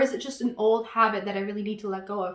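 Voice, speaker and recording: A woman talks at a very fast pace in a fairly high pitch. Noticeable background noise runs behind her. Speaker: tarot reader and astrologer. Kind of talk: tarot reading.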